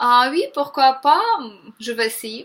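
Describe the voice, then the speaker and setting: A woman's high, bright and sharp voice in a Ukrainian accent, at a very slow pace. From Ukraine. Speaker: vegan vlogger. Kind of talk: motivational vlog monologue. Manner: hesitant, many 'euh' fillers.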